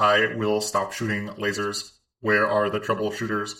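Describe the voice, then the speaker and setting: Using a put-on character voice, a man talks at a moderate pace and a fairly low pitch. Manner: deadpan, mechanical.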